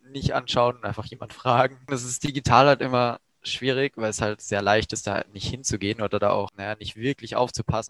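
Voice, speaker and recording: A man with an unremarkable speaking voice talks at a medium pitch and moderate pace, keeping his intonation fairly even. The sound is dry and close, with no echo. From Germany, Baden region. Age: 18. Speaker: first-year physics student. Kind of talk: casual chat. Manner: casual, slangy.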